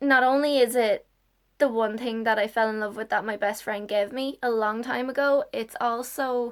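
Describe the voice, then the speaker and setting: In an Irish accent, a woman talks at a fairly slow pace in a high pitch. Her intonation stays fairly even. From Ireland. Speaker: YouTuber. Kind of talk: casual vlog. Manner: halting.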